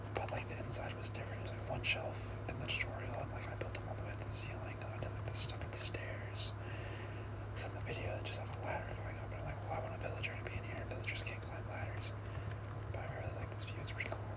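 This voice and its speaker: Someone whispers at a very fast pace. Noticeable background noise is present. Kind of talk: casual talk to camera, gaming commentary. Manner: rambling, casual, with frequent filler words; whispered, lofi ASMR.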